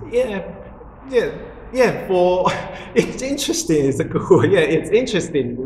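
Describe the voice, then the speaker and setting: Audible room echo and noticeable background noise surround speech at a moderate pace, with very wide pitch swings and long, frequent pauses. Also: man, high pitch for a man. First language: Mandarin Chinese. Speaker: religious group member explaining teachings. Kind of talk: casual spiritual conversation. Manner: halting, with many fillers.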